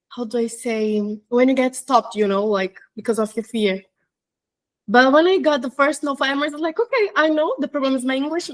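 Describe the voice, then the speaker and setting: A woman speaks with a Portuguese accent in a high voice, her pitch rising and falling by an ordinary amount. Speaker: flight attendant. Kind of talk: interview. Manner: halting.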